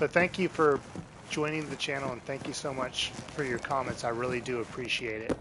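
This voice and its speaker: The intonation is fairly even. The pace is fairly quick. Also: man, medium pitch for a man. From United States. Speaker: video game streamer. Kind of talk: live stream commentary. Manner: fast; fumbles words sometimes.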